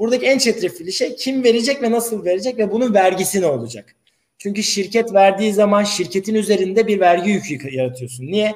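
A man with a high pitch, lively intonation, a fairly quick pace and hardly any pauses. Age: 30s. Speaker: lawyer. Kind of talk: interview.

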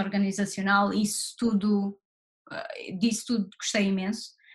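Somewhat breathy and at a very slow pace, the speech comes in a European Portuguese accent. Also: woman. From Portugal, Barreiro (Lisbon south bank). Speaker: actress. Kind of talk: interview.

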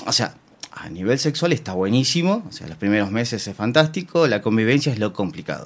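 A man with a Rioplatense accent speaks at a medium pitch, his voice swinging very widely in pitch and making big jumps in loudness. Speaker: swinger party organizer. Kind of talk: interview.

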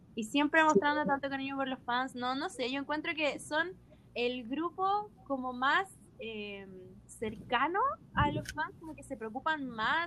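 Speaking in a Chilean accent, a woman uses a raised, projected voice, high in pitch, at a fairly slow pace with big swings in loudness. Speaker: podcast host. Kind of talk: casual chat.

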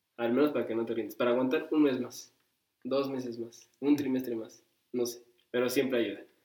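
Speaking at a fairly quick pace, a man has a medium pitch, a dark, mellow tone and a monotone, flat intonation. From Mexico, Cuernavaca, Morelos. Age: 20s. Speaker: podcast co-host. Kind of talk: casual chat.

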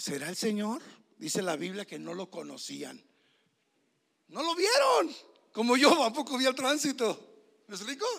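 A man talks at a fairly slow pace in a high pitch, with very wide pitch swings. His loudness swings widely, and he leaves long, frequent pauses. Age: 60s. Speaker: pastor. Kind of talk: sermon.

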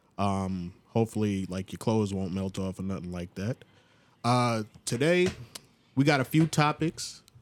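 On a very clean recording with a silent background, a man with a New York accent speaks at a fairly low pitch, taking long, frequent pauses. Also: moderate pace, big swings in loudness. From Long Island, New York. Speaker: podcast co-host. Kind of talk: casual chat.

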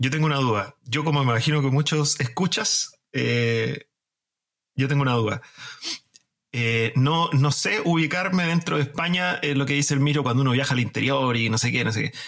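Speaking at a moderate pace with fairly high pitch, ordinary pitch variation and very even loudness, a man uses a plain, everyday voice. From Chile. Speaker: podcast host. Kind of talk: casual chat.

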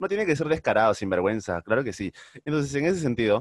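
A man is speaking. The sound is dry and close with no echo, and the background is quiet. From Peru, Trujillo (northern coast). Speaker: podcast co-host. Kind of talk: casual chat. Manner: animated, laughing often.

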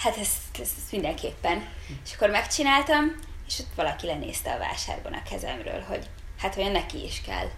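Amid noticeable background noise and audible room echo, a woman talks at a moderate pace with big swings in loudness. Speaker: goldsmith. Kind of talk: casual chat.

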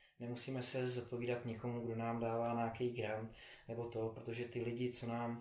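In a room with clear echo, a man talks at a mid pitch. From Czechia, Prague. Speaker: philanthropist and triathlete. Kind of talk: interview. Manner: halting, many fillers.

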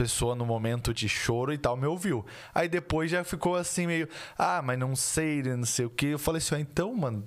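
On a very clean recording with a silent background, a man talks at a moderate pace with lively intonation. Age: 20s. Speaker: podcast host. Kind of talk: casual chat.

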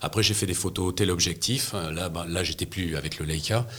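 A man talks at a fairly slow pace with ordinary pitch variation. Noticeable background noise runs underneath. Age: 60s. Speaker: press photographer. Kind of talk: interview. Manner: halting, with frequent repetitions.

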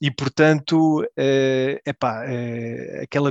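A man speaks at a medium pitch in a monotone, flat intonation. The sound is dry and close, with no echo. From Belgium, Portuguese family. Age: 30s. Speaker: football fan guest. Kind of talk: casual chat.

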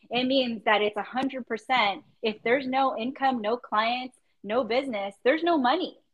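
A woman speaks in a high pitch with ordinary variation. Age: 30s. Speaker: podcast host. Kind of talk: casual chat.

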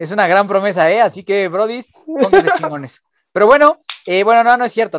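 Delivered at a very fast pace with very wide pitch swings, the speech has a dry, close sound with no echo. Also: man. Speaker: podcast host. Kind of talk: casual chat. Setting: late-night remote recording.

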